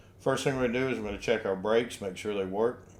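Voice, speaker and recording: A man speaks with a fairly low pitch and ordinary pitch variation. Audible room echo surrounds the voice. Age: 60s. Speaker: RV lifestyle vlogger. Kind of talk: product tutorial. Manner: casual, with fillers.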